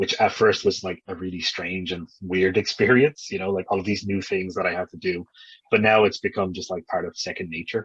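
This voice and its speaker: Fairly low-pitched man with an Irish accent, at a fairly quick pace. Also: dry, close sound with no echo. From Ireland. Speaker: English teacher abroad. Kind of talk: interview. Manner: casual, hesitant with fillers.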